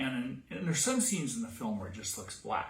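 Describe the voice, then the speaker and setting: Room echo is audible as a man talks with a West Virginia accent. His pitch swings very widely. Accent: West Virginia, pin-pen merger. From US, West Virginia. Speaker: cosplay costume maker. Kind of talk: tutorial. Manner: casual, halting.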